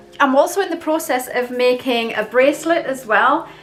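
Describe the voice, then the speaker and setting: A high-pitched woman's voice with lively intonation at a fairly slow pace, music playing in the background. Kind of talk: casual talk to camera; ASMR crafts show-and-tell. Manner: chatty, hesitant, casual.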